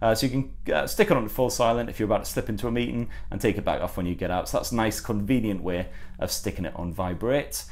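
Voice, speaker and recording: Someone speaks very fast in a northern English accent. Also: man. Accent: northern English twang. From northern England. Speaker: tech reviewer. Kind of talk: unboxing review. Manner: halting, many fillers.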